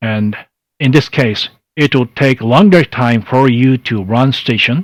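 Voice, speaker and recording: Very slowly, a man with a Japanese accent speaks at a medium pitch with ordinary pitch variation, in a dry, close sound with no echo. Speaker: amateur radio contest presenter. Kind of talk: online workshop presentation. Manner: halting, many fillers.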